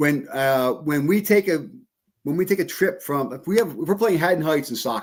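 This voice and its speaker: At a moderate pace, a man with a fairly high pitch speaks with lively intonation. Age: 60s. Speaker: school superintendent. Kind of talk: casual interview. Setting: studio, live podcast. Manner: halting, many repetitions.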